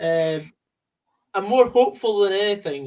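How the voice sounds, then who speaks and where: A man speaks with a Scottish accent and a high pitch. He moves at a fairly slow pace with ordinary pitch variation. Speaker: football fan co-commentator. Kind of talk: casual chat. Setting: call.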